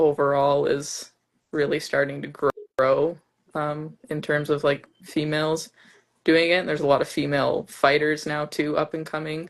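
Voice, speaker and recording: A woman's very deep, low voice with a Canadian accent. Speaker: Muay Thai fighter. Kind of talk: interview.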